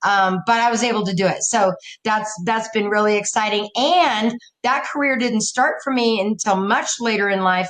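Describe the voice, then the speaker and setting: This woman has a normal speaking voice, fairly high in pitch with ordinary pitch variation. She keeps a moderate pace and very even loudness. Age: 60s. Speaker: counselor and coach, podcast guest. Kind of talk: casual interview.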